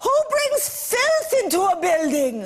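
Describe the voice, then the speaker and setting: A put-on character voice at an extremely high pitch swings very widely in tone and moves at a fairly slow pace. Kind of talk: stern, demanding. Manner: harsh, scolding.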